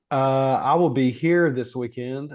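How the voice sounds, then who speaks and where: A man is speaking. His pace is very slow. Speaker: podcast co-host. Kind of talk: casual chat.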